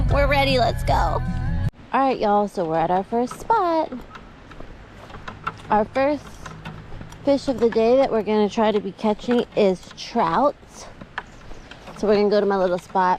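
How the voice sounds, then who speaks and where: Amid noticeable background noise, a woman with a fairly high pitch speaks in an upbeat tone with lively intonation and long, frequent pauses. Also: moderate pace. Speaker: fishing vlogger. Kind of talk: casual vlog. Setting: outdoors. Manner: loud.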